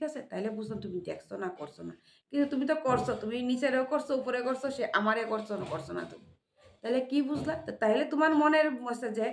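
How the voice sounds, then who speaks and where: A woman speaks high in pitch with lively intonation and an animated tone. Her loudness swings widely. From Tripura, India. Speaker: vlogger. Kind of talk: casual vlog monologue.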